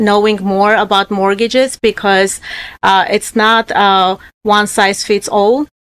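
The woman's voice sits fairly high, with monotone, flat intonation. The recording is very clean with a silent background and a dry, close sound with no echo. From Armenia. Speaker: mortgage loan originator. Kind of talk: interview, professional conversation. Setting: studio. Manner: halting, with filler words.

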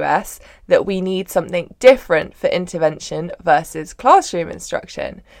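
The woman speaks at a moderate pace. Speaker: podcast host. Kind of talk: casual interview.

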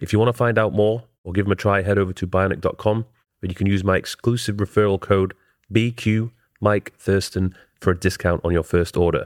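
A man speaks in an ordinary speaking voice at a fairly quick pace, his pitch fairly low and his intonation fairly even, on a very clean recording with a silent background and a dry, close sound with no echo. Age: 30s. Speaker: podcast host. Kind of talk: casual interview.

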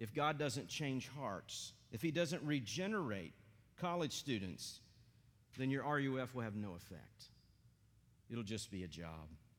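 With very wide pitch swings around a medium pitch, a man talks at a fairly slow pace. Long, frequent pauses break his speech, and room echo is audible. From East Tennessee, US South. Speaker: pastor, church planter. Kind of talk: sermon. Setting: church.

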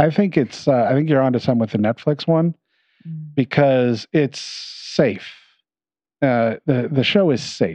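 Over a quiet background, a man talks with lively intonation at medium pitch. His loudness stays very even. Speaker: podcast co-host and editor. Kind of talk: casual chat.

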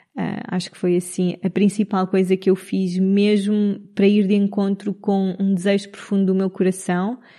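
In a dark, mellow tone, the speaker talks at a moderate pace with monotone, flat intonation and hardly any pauses. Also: woman, medium pitch for a woman. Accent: Lisbon. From Portugal, Lisbon area (Cascais). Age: 30s. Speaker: podcast host, human design coach. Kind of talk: casual solo monologue.

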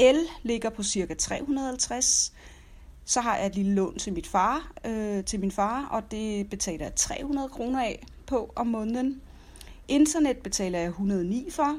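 Lively intonation carries speech that moves very slowly. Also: woman, fairly high pitch for a woman. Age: 40s. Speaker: personal finance podcaster. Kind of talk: casual monologue. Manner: hesitant with many fillers.

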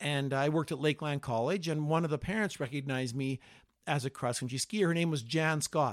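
With a Canadian accent, a man with an ordinary speaking voice talks at a fairly quick pace in a fairly high pitch with ordinary pitch variation, on a very clean recording with a silent background. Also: dry, close sound with no echo. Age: 60s. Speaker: cross-country ski coach. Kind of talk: casual chat.

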